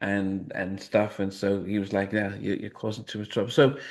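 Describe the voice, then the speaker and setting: There's a man with a fairly low pitch talking against a quiet background. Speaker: podcast host. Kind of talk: interview conversation. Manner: soft-spoken; halting, many repeated words.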